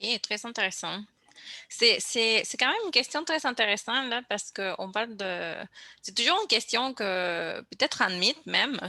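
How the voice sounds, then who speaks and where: A woman with a Spanish accent speaks in a fairly high, bright, sharp voice with lively intonation against a quiet background. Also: moderate pace. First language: Spanish (speaking French). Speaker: podcast host. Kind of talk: casual chat. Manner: hesitant, repetitive.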